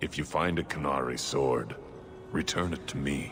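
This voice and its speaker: Over clear background noise, a man puts on a character voice with a very deep, low pitch at a moderate pace. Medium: video game. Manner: formal, clipped.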